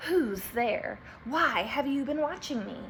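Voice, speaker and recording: Through clear background noise, a woman uses a put-on character voice, high-pitched and hissing, at a fairly slow pace. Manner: suspicious, wary.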